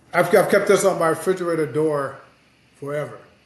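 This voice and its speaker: Audible room echo surrounds a man who speaks in an American accent. His pitch is high, with ordinary variation. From US Midwest, South Bend, Indiana. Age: 60s. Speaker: sports journalist. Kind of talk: casual podcast chat.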